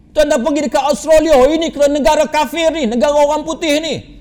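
A man talks at an extremely high pitch, with noticeable background noise present. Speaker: Islamic preacher. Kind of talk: religious lecture.

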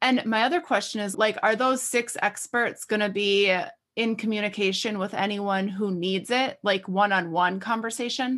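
Recorded very cleanly against a silent background, a plain, everyday voice moves at a moderate pace with ordinary pitch variation. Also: woman, medium pitch for a woman. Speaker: podcast host. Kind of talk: casual chat.

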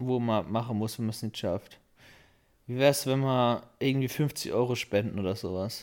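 In a very clean recording with a silent background, a man with a normal speaking voice talks at a moderate pace. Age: 20s. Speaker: podcast co-host. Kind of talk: casual chat.

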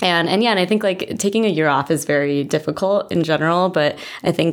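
Speaking at a fairly quick pace, a woman has a very deep, low pitch and ordinary pitch variation. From Illinois, US Midwest. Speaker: medical student. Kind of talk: casual interview.

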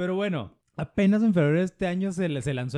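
A man's dark, mellow voice at a moderate pace with ordinary pitch variation, in a dry, close sound with no echo. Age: 40s. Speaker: podcast host. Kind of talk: casual chat.

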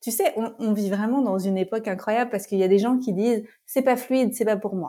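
With a dark, mellow tone, a woman talks at a fairly quick pace with ordinary pitch variation. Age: 30s. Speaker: life coach and trainer. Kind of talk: casual interview.

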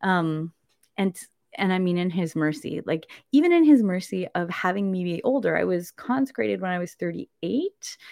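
A woman with a Canadian accent speaks in an ordinary speaking voice at medium pitch and a moderate pace. Her intonation is lively, and the sound is dry and close with no echo. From Canada. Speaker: consecrated virgin and speaker. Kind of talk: conversion testimony. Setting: livestream.

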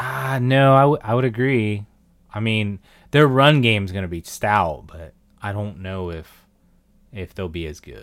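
In a very clean recording with a silent background, a man with an unremarkable speaking voice talks at a fairly slow pace, fairly low in pitch, with lively intonation. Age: 30s. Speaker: podcast co-host. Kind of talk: casual chat.

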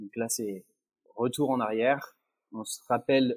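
A man speaks in a dark, mellow tone, recorded dry and close with no echo. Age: 30s. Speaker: training project manager. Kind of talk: interview.

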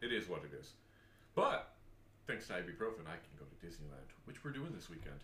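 A man speaks at a very deep, low pitch with a bright, sharp tone and vocal fry. His pitch swings very widely, loudness shifts a lot, and he takes long, frequent pauses. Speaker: podcast host. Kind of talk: casual chat.

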